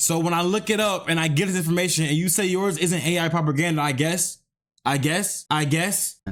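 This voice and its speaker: A man's high voice, animated in tone and very even in loudness, at a fairly quick pace on a very clean recording with a silent background. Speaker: streamer reacting to videos. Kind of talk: live stream reaction commentary.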